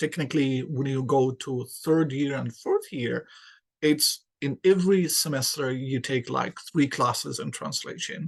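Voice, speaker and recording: With an Arabic accent, a man speaks at a fairly slow pace in a somewhat breathy, fairly high-pitched voice. His intonation is fairly even, and the background is quiet. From Yemen. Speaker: English lecturer. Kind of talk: podcast interview.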